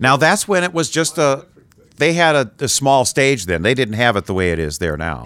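On a very clean recording with a silent background, a man at medium pitch speaks at a moderate pace with vocal fry and very wide pitch swings. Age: 70s. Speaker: podcast host and interviewer. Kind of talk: casual interview chat. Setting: studio.

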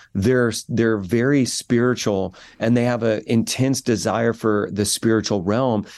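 A man talks in a normal speaking voice at a fairly slow pace. His intonation is fairly even, and the background is quiet. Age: 40s. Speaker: pastor. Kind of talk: interview.

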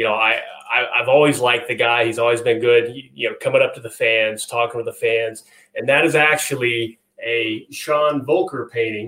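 A man's medium-pitched voice at a moderate pace. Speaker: sports superfan. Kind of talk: casual chat. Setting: video call.

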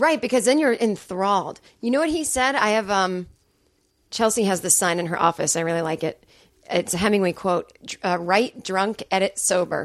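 At a moderate pace, a woman with a normal speaking voice and medium pitch uses lively intonation, on a very clean recording with a silent background. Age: 30s. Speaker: stand-up comedian. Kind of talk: casual chat. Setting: studio.

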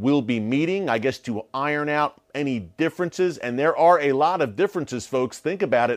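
Against a quiet background, a man with an ordinary speaking voice uses a fairly high pitch and lively intonation. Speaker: news show host. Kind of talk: news commentary broadcast. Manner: formal newscaster delivery, brisk and urgent.

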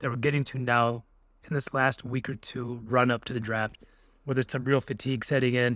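A man speaks at a fairly quick pace in an ordinary speaking voice, with medium pitch and fairly even intonation. The recording is very clean, with a silent background. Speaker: podcast host, sports reporter. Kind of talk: casual sports podcast chat.

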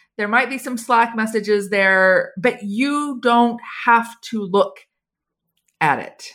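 At a very slow pace, a woman with an American accent speaks in a fairly high voice with ordinary pitch variation, recorded very cleanly against a silent background. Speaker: HR writer and consultant. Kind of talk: casual interview.

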